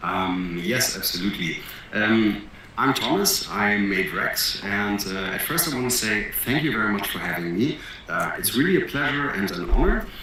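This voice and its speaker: Over noticeable background noise and audible room echo, a man with a German accent speaks at a fairly low pitch with lively intonation. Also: moderate pace. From Germany. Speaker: entrepreneur and crypto project founder. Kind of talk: interview. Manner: hesitant, many fillers.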